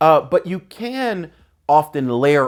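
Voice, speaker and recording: Over a silent background in a very clean recording, a man speaks in an energetic, relaxed tone. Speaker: lifestyle video host. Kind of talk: casual advice talk. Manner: loud; energetic, relaxed conversational.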